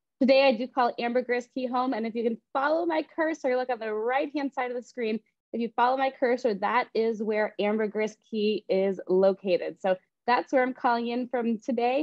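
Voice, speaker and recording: Against a quiet background with a dry sound and no echo, a woman speaks at a moderate pace in a high pitch with ordinary pitch variation. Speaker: real estate agent hosting a webinar. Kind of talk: presentation. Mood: friendly, upbeat. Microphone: video call.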